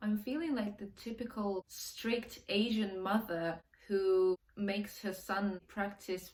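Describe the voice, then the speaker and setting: With a Russian accent, a woman speaks in fairly even intonation. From Russia (Moscow). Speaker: language learning vlogger. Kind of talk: casual vlog monologue.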